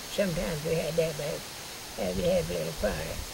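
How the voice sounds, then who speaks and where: Noticeable background noise around a woman talking at a moderate pace. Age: 80s+. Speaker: retired schoolteacher. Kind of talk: interview answer.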